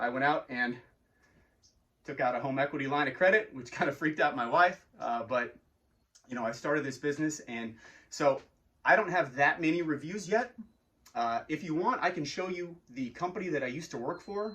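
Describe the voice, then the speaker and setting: A man's fairly high voice with lively intonation, a fairly quick pace and long, frequent pauses. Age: 40s. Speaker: arcade game business owner. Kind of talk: business owner talking to camera about customer service. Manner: casual, conversational with filler words.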